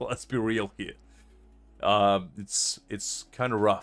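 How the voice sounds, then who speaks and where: There is a man talking fairly slowly. Background music accompanies him. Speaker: streamer voicing game characters. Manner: casual, self-deprecating.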